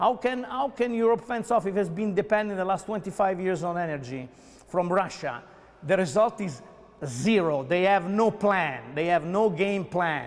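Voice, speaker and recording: In an Italian accent, a man talks with an animated tone at a moderate pace. His high-pitched voice has lively intonation. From Italy. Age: 50s. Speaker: mayoral candidate. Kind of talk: interview. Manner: halting, with many fillers and repeats.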